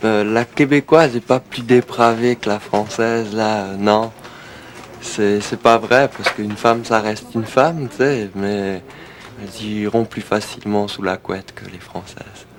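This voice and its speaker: A man speaks with a fairly low pitch and fairly even intonation over noticeable background noise. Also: fairly slow pace, big swings in loudness. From France, Alsace. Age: 20s. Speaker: DJ and record seller. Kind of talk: documentary interview. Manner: hesitant, many fillers.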